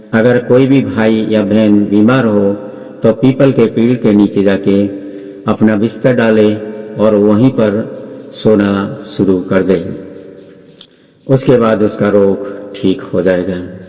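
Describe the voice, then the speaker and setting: A man with a fairly low pitch, fairly even intonation and long, frequent pauses, over noticeable background noise. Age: 70s. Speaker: wellness teacher. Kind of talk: tutorial.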